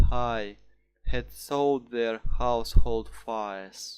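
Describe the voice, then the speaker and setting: Over music in the background, a man with a Russian accent talks at a very slow pace in a medium pitch. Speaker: student. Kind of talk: poetry reading.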